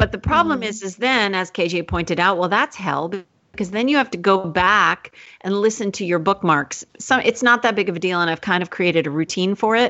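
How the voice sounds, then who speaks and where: Her medium pitch and ordinary pitch variation move at a fairly quick pace as a woman speaks in a plain, everyday voice. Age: 40s. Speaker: teacher and writer, podcast co-host. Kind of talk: interview.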